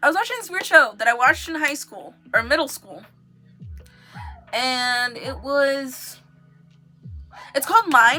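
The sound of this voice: Over music in the background, a woman with a high pitch uses a raised, projected voice and lively intonation.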